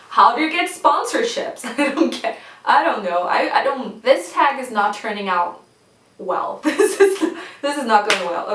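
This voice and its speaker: Speaking fairly slowly in a high voice with very wide pitch swings, a woman with a non-native accent is heard over noticeable background noise. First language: not English. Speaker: booktuber. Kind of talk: casual talk to camera.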